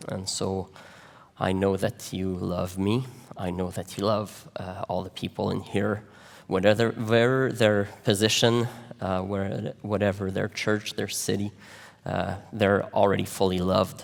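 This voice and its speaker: A man speaks at a fairly slow pace with a Quebec accent. His fairly low voice stays monotone and flat. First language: French. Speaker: pastor. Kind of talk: sermon. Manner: halting, many fillers.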